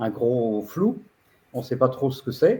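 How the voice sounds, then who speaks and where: At a very slow pace, a man speaks in a dark, mellow, somewhat breathy voice of medium pitch with ordinary pitch variation. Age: 70s. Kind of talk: video-call presentation. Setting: video call. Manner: halting, many hesitations.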